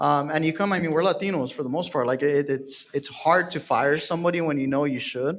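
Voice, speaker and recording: A man with an American accent speaks in an unremarkable speaking voice at a fairly high pitch. His pace is fairly quick, with hardly any pauses and fairly even intonation. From Texas, San Antonio. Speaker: real estate team leader. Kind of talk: panel discussion.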